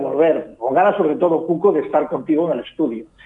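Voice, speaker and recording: There is noticeable background noise behind this man. His voice sits fairly high, with ordinary pitch variation. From Galicia, Spain. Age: 50s. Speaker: fashion commentator. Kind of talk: casual interview. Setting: phone call.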